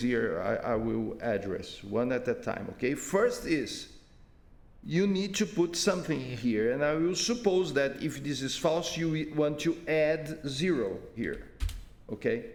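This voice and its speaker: A man with a non-native accent, fairly high-pitched, with very wide pitch swings, a fairly slow pace and audible room echo. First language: not English. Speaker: software developer giving user support. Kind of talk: screen-recorded tutorial. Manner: halting, many repetitions.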